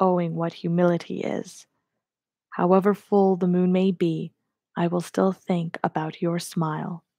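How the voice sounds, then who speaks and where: A soft-spoken woman with a fairly low pitch talks at a fairly slow pace in a gentle, dark, mellow tone with monotone, flat intonation. The recording is very clean with a silent background and a dry, close sound with no echo. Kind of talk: poetry reading. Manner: gentle, soft-spoken.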